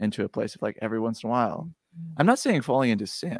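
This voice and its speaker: A man with an American accent speaks in an unremarkable speaking voice at a medium pitch, with ordinary pitch variation and a dry, close sound that has no echo. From Wisconsin. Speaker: director of content for a men's spiritual program. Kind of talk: podcast interview.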